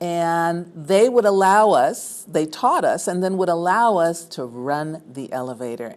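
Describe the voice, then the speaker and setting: A plain, everyday voice from a woman with an American accent, fairly low-pitched and fairly slow, with lively intonation. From New York City, Harlem. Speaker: former resident. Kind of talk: oral history interview.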